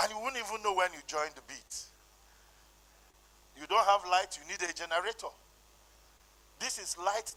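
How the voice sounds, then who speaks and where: In a Nigerian accent, a man with a high voice and ordinary pitch variation projects loudly at a fairly quick pace, his loudness swinging widely between long, frequent pauses. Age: 60s. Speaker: conference speaker. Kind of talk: conference talk.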